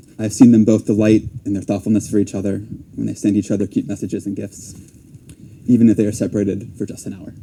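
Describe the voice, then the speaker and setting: In a dark, mellow tone with vocal fry, a man speaks very fast in a flat monotone, his loudness swinging widely. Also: fairly low pitch for a man. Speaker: wedding officiant. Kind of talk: wedding speech. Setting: wedding ceremony.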